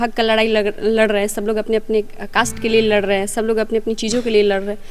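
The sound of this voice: A woman speaks at a fast pace.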